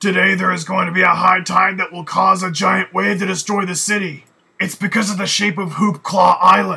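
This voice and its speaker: A man uses a raspy, cartoonish character voice pitched high. He speaks at a moderate pace. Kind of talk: cartoon character dialogue.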